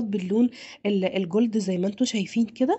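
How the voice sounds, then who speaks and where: This woman has a fairly high pitch and a somewhat breathy voice. She talks at a fairly quick pace with ordinary pitch variation. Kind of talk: video narration. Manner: animated.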